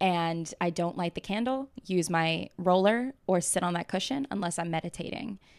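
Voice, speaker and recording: A woman with an American accent and a plain, everyday voice speaks at medium pitch and a moderate pace, with ordinary pitch variation and hardly any pauses. The sound is dry and close with no echo, on a very clean recording with a silent background. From US South, Atlanta, Georgia. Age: 20s. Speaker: startup founder. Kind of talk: casual interview.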